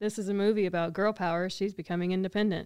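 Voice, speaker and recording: A woman with a Texan accent and fairly even intonation on a very clean recording with a silent background. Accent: Southeast Texas Southern American. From Texas. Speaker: podcast co-host. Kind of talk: casual chat.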